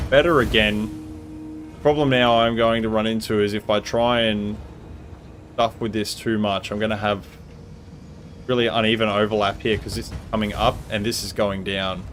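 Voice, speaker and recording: Speaking in a relaxed tone with a strong Australian accent, a man with a fairly low voice keeps a moderate pace and fairly even intonation, with long, frequent pauses. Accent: broad Australian. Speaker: video game streamer. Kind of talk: live gameplay stream commentary. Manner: casual, relaxed.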